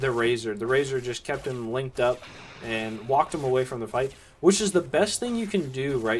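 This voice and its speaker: Using very wide pitch swings, a man talks with an American accent. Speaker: esports caster. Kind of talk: live commentary. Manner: fast, play-by-play.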